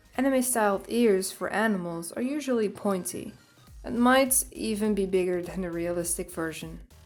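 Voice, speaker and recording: Woman at a moderate pace and medium pitch with ordinary pitch variation, music in the background. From Netherlands. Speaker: artist. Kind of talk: drawing tutorial narration. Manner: upbeat.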